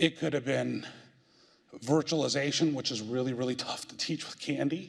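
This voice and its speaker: Loud and at a fairly high pitch, a man speaks at a moderate pace with vocal fry and ordinary pitch variation. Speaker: IT executive and speaker. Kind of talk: presentation.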